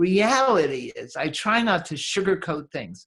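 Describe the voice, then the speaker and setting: A woman with an American accent at a fairly slow pace, lively in intonation, over a quiet background. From New York, Brooklyn. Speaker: author and podcast host, money coach. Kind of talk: interview conversation. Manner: repeats words, hesitant starts.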